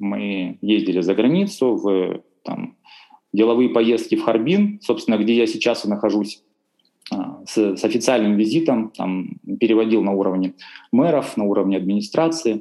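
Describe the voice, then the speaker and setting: Long, frequent pauses in a man's speech at a moderate pace. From Russian Far East, Khabarovsk. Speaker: language teacher and interpreter. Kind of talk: casual interview.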